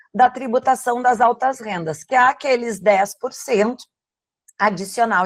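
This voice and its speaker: In a southern Brazilian accent, a woman speaks at a moderate pace with a high pitch and ordinary pitch variation, the sound dry and close with no echo. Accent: gaúcho. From southern Brazil, Rio Grande do Sul. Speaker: tax lawyer. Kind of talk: webinar presentation.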